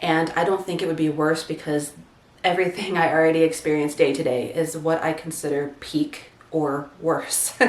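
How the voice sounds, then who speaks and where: A woman's very deep, low voice, monotone and flat, at a moderate pace, with audible room echo and noticeable background noise. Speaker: content creator. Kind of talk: personal testimony vlog.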